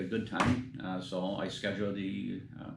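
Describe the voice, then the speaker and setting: A man talks with an American accent at a fairly low pitch. His intonation is fairly even, and room echo is audible. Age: 70s. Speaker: metal detecting youtuber. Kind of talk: casual vlog talk. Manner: halting, many fillers.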